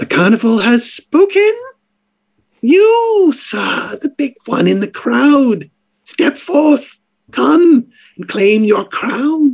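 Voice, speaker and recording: A put-on character voice at a very slow pace. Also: man, extremely high pitch for a man. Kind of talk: grand showman announcement. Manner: theatrical, playful.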